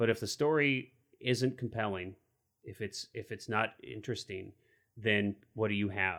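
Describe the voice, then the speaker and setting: A man with a plain, everyday voice and a fairly low pitch speaks at a moderate pace with ordinary pitch variation on a very clean recording with a silent background. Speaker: film podcast co-host. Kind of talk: casual chat.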